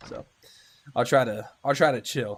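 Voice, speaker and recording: Ordinary pitch variation from a man, captured on a very clean recording against a silent background. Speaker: gaming streamer. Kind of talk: live gameplay stream chat. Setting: live stream. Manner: fast; animated.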